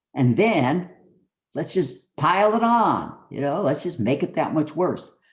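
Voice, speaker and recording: A man speaks at a fairly high pitch with lively intonation and an ordinary speaking voice. He keeps a fairly slow pace. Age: 60s. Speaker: retired army colonel and physician. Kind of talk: interview testimony. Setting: studio.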